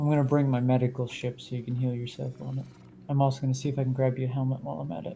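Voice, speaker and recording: The speech is quiet and goes by at a very fast pace. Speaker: gamer. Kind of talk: casual gaming chat. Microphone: a little quiet.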